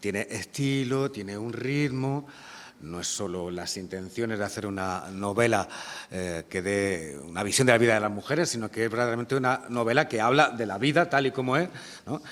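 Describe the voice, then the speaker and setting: A man's normal speaking voice with lively intonation at a moderate pace. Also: medium pitch for a man. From Granada province, Spain. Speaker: poet and interviewer. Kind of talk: public literary conversation. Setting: university lecture hall with audience.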